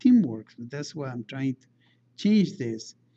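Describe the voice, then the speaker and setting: Fairly high-pitched man with a non-native accent and a dark, mellow tone. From outside the United States. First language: not English. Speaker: engineering lecturer. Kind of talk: lecture. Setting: classroom. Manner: halting, with frequent fillers and restarts.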